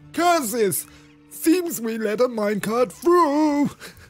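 Someone puts on a character voice with a fairly high pitch, speaking at a fairly slow pace while faint music plays behind. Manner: theatrical, exclaiming.

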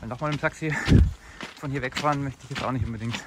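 Fairly quick pace over loud background noise. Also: man, dry sound with no echo. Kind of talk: casual vlog chat. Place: open country. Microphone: phone near.

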